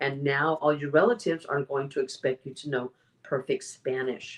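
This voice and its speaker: A very deep, low-pitched female voice in an American accent. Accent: American English, careful diction. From US, Mexican-American family. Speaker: public speaking champion. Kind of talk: interview conversation. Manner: clear careful enunciation.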